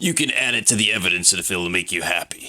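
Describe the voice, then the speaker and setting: A man's raspy, put-on character voice at a very fast pace. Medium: game stream. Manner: sarcastic, condescending.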